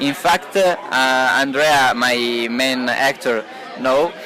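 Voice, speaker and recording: In an Italian accent, a man with a fairly high voice speaks at a very slow pace over crowd noise in the background. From Italy, Turin. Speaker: film director. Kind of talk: interview. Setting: party at a film festival. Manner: halting, many hesitations.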